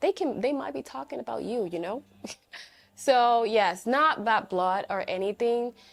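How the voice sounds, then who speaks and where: In a Spanish accent, a woman speaks with very wide pitch swings. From Dominican Republic. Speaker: language teacher and content creator. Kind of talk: casual vlog commentary. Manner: halting, with many fillers and restarts.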